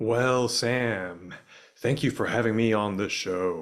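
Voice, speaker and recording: A man doing a put-on character voice. He speaks at a medium pitch and a fairly slow pace. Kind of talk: radio-style polished delivery. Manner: creepy, exaggerated podcaster delivery.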